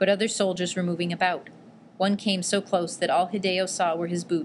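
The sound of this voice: Here the words come in an unforced reading voice.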